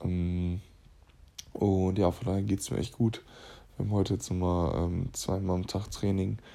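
With a very deep, low pitch and a dark, mellow tone, a man speaks at a moderate pace and fairly even intonation. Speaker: basketball player and podcaster. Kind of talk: casual voice memo monologue. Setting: lying in bed at home.

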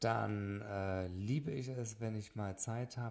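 Very slow delivery from a man with a fairly low voice. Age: 30s. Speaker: wedding photographer, podcast host. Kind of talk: solo podcast monologue. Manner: hesitant with frequent fillers.

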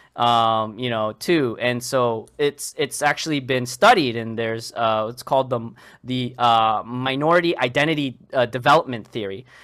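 Speaking with an American accent in an unremarkable speaking voice, a man keeps a moderate pace with hardly any pauses, a medium pitch and ordinary pitch variation. The recording is very clean, with a silent background. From Boston, Massachusetts. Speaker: clinical research professional. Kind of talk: casual interview.

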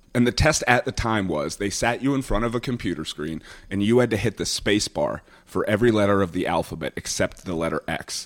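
In an ordinary speaking voice, a man talks at a fairly quick pace with fairly low pitch and lively intonation, the sound dry and close with no echo. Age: 30s. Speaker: comedian. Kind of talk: casual chat.

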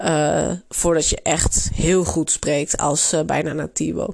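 A woman speaks with vocal fry. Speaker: Spanish language teacher. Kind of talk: tutorial. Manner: frequent hesitations (uh).

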